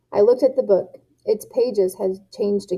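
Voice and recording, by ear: The background stays quiet as someone is reading aloud in a natural voice.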